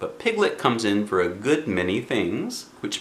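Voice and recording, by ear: Someone reads aloud in a natural voice.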